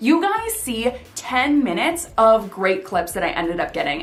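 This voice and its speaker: Captured with audible room echo and noticeable background noise, a woman speaks at a high pitch. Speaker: YouTuber giving video tips. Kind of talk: casual vlog tutorial. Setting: filming alone to camera. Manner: fast; animated.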